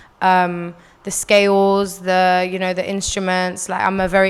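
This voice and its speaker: A woman with a London accent speaks at a medium pitch on a very clean recording with a silent background. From North London, UK (born in Algeria, moved at four). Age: 20s. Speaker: singer. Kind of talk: interview answers. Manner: casual, many fillers.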